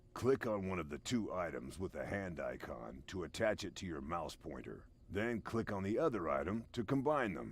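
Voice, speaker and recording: Putting on a character voice, a man speaks in a very deep, low pitch with a deadpan tone. He keeps a moderate pace and hardly pauses. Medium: video game. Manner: dry, deadpan.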